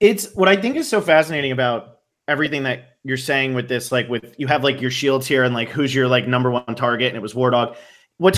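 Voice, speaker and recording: The man talks at a very fast pace with ordinary pitch variation. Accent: American. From New Jersey. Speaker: podcast host. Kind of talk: casual chat.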